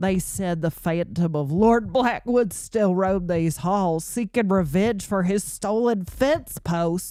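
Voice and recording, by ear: A natural-voiced read-aloud with ordinary rise and fall in pitch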